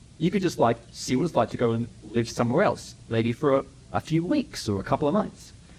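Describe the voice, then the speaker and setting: A man with an Australian accent, medium pitch, fairly quick pace, lively intonation, somewhat breathy delivery and very even loudness. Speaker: entrepreneur and speaker. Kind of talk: public talk. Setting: stage with audience. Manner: animated.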